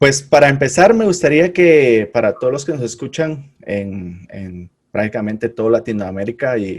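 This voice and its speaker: With a normal speaking voice, a man talks at a moderate pace and medium pitch, his intonation lively, his loudness swinging widely, and hardly any pauses between words. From Guatemala. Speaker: podcast host. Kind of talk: casual interview.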